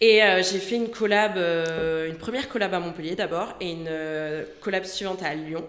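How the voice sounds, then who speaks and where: With a slight southern French accent, a woman speaks at a moderate pace with hardly any pauses, at medium pitch with ordinary variation, amid noticeable background noise and audible room echo. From southern France. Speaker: lawyer. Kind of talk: podcast interview.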